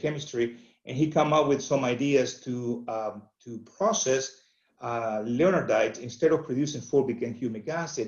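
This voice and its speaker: A man with a Venezuelan accent, medium in pitch, with ordinary pitch variation at a fairly quick pace. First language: Spanish. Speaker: agronomy company representative. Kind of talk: webinar presentation. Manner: halting, many fillers.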